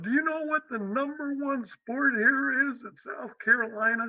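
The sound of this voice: A man performs a put-on character voice. It is extremely high-pitched and delivered at a moderate pace.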